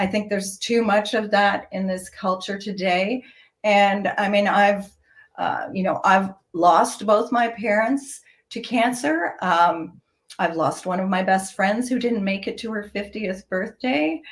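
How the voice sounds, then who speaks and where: A woman with a somewhat breathy voice talks fairly slowly, her pitch varying in an ordinary way. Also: medium pitch for a woman. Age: 60s. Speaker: fashion entrepreneur. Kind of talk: interview. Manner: hesitant, many fillers.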